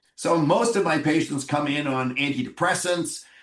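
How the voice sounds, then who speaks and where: At a moderate pace, a man with a Canadian accent uses a normal speaking voice with ordinary pitch variation. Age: 60s. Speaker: physician. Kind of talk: interview.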